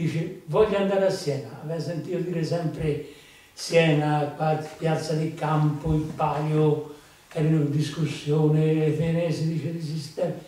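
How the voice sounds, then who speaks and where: Strong room echo surrounds a man speaking at a fairly slow pace with a fairly high pitch and monotone, flat intonation. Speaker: farmer and folk storyteller; farmer storyteller. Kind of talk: storytelling to an audience. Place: hall.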